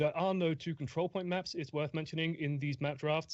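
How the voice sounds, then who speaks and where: With an English accent, a man speaks at a very fast pace. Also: quiet background. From England. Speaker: esports caster. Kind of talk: live commentary.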